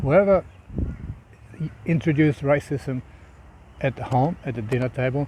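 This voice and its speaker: A man speaks at a moderate pace with a fairly high pitch. His tone is dark and mellow, and somewhat breathy. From Uruguay. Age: 60s. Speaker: political commentator. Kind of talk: opinion monologue to camera. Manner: halting, with frequent repetitions and fillers.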